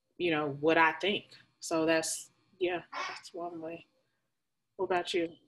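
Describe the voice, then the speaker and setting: In a Southern US accent, a woman speaks at a fairly low pitch and a fairly slow pace. Her intonation is monotone and flat, broken by long, frequent pauses. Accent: country, Southern US. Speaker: podcast co-host. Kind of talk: casual chat.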